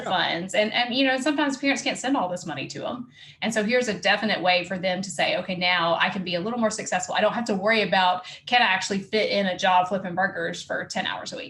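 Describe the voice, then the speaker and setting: In a Southern US accent, a woman talks at a very fast pace with a bright, sharp tone, a medium pitch and ordinary pitch variation. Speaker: podcast host. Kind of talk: podcast interview.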